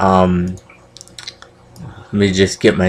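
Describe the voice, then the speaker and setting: With noticeable background noise behind him, a man talks at a very slow pace in a fairly low pitch. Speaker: wrestling recap vlogger. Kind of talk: casual vlog recap. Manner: hesitant, many fillers.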